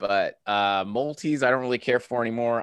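A bright, sharp, animated tone against a quiet background. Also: man. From Kansas. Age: 30s. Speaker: gaming and fitness content creator. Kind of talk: casual chat. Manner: animated, laughs often.

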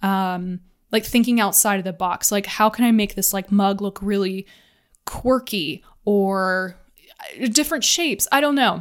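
A woman with an American accent, moderate pace and ordinary pitch variation. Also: medium pitch for a woman. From US South. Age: 20s. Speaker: podcast host. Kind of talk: casual monologue. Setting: home office. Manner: rambling, filler-heavy.

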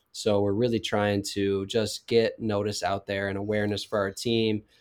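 A man with an American accent and a plain, everyday voice, fairly low pitch, fairly even intonation and moderate pace, on a very clean recording with a silent background. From Wisconsin (Waukesha). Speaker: college hockey captain. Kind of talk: interview.

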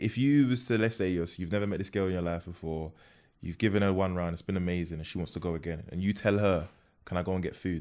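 Against a quiet background, a man with a South London accent talks at a very fast pace in a very deep, low voice with ordinary pitch variation. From South London, Peckham. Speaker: comedian and content creator. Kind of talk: casual chat.

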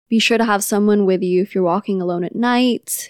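Dry and close with no echo on a very clean recording with a silent background, a woman's ordinary speaking voice sits at a medium pitch with ordinary pitch variation. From Philippines, Manila; moved to California. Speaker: podcast co-host, childcare provider. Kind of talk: casual chat.

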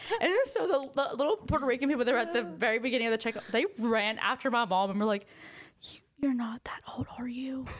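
A very fast delivery with lively intonation, in a Southern US accent. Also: woman, high pitch for a woman. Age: young. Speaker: aspiring podcaster. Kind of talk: casual chat.

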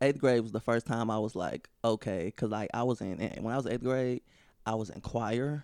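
A man with an American accent speaks at a medium pitch with ordinary pitch variation on a very clean recording with a silent background. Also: dry, close sound with no echo. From St. Louis, Missouri. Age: 20s. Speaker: stand-up comedian. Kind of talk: casual chat.

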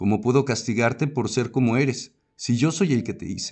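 This man speaks neither fast nor slow. His voice sits at a medium pitch. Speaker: podcast narrator. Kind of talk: reading aloud a first-person monologue in the voice of god, scripted narration. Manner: direct, emphatic, speaking straight to the listener in commanding second person.

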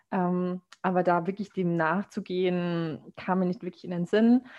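The speaker is a woman with a medium pitch. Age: 20s. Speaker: podcast host, master's student. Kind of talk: casual chat.

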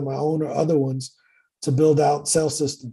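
A man with a fairly high pitch and a dark, mellow tone speaks at a moderate pace in a somewhat breathy, monotone, flat delivery against a quiet background. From US Midwest, East St. Louis, Illinois. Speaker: sales and wealth entrepreneur. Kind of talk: casual interview.

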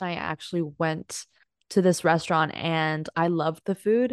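A woman's normal speaking voice, fairly low in pitch, at a moderate pace, with a dry, close sound with no echo and a quiet background. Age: 20s. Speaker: podcast co-host. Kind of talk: casual chat.

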